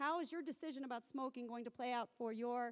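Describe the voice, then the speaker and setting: An American accent marks this woman's speech. She talks at a very fast pace with lively intonation. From US South. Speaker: researcher and academic speaker. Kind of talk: conference talk.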